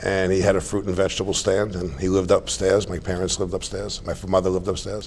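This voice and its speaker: Over noticeable background noise, a man with a New York accent talks at a very fast pace with hardly any pauses, his very deep, low voice monotone and flat. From New York, Staten Island. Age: 60s. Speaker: retired financier, horse show president. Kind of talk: interview.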